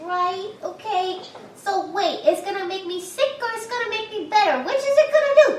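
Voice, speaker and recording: Putting on a squeaky character voice, a woman speaks at an extremely high pitch and a moderate pace, with light background noise and a slight echo. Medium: actual play. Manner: cheeky, slangy.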